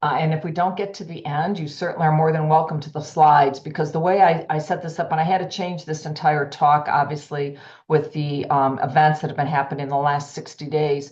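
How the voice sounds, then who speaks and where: In a room with audible echo, a woman with a very deep, low pitch speaks at a fairly quick pace with hardly any pauses, in a monotone, flat, somewhat breathy delivery. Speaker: healthcare executive and cardiology society president. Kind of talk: lecture. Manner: fast.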